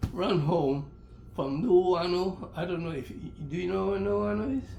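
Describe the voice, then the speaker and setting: A man with a high pitch, with audible room echo and noticeable background noise. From Hawaii (Honolulu, Oahu). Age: 90s. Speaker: elderly interviewee telling life stories. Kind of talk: oral history interview. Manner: halting, repeats words.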